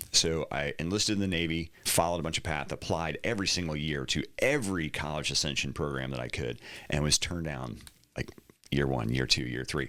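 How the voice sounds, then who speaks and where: Speaking fairly quickly with an American accent, a man uses a very deep, low pitch, a bright, sharp tone and vocal fry. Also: ordinary pitch variation. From US South, Atlanta, Georgia. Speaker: real estate broker and retired navy pilot. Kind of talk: casual interview.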